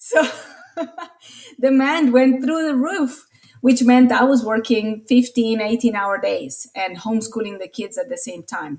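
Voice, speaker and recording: A high-pitched woman's voice with a Latin American accent, big swings in loudness, and a fairly slow pace. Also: ordinary pitch variation. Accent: Spanish-speaking Latin American. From Latin America (Colombia and Venezuela). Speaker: marketing consultant. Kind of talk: interview testimony. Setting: podcast interview.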